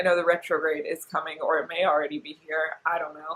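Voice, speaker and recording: A woman with an American accent speaks at a moderate pace. Her pitch is very deep and low. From US South, northwest Georgia. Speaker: fashion vlogger and online reseller. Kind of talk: casual vlog talk to camera. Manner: chatty, rambling with fillers.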